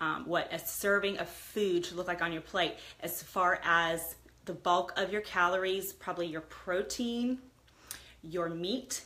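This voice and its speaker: A woman speaks at a moderate pace with a bright, sharp tone at a medium pitch. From US, Italian immigrant household. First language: Italian. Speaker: lifestyle livestreamer. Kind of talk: casual livestream chat. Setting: live video stream.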